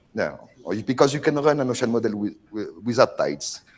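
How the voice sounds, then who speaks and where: A man talks at a fairly quick pace. He has a strong French accent. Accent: very strong French. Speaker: oceanography researcher. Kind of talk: lecture. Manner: halting, many fillers.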